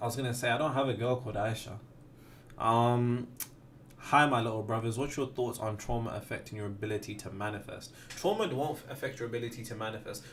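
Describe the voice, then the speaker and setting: A man talks at a very fast pace with fairly even intonation. The room echo is audible and background noise is noticeable. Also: medium pitch for a man. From West Midlands, Wolverhampton. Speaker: manifestation content creator. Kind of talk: livestream Q&A. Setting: livestream.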